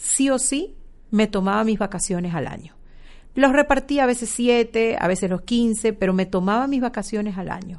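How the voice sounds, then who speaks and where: The speaker goes at a moderate pace with ordinary pitch variation. The background is quiet. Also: woman. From Ecuador. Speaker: marketing manager. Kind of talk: interview. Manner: hesitant with fillers.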